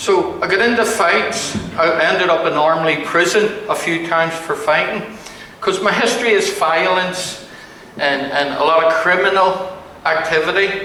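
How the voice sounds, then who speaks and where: A raised, projected voice at a moderate pace, very even in loudness and with ordinary pitch variation, amid audible room echo and noticeable background noise. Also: man, high pitch for a man. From Northern Ireland. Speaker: pastor. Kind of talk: testimony. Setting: men's breakfast gathering with audience. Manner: casual, humorous delivery.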